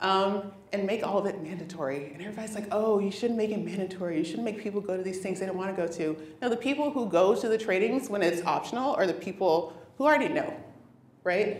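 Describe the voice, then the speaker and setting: Very fast and with lively intonation, a woman at medium pitch talks amid noticeable background noise and audible room echo. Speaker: engineering manager giving a conference talk. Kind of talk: conference talk. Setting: stage with audience.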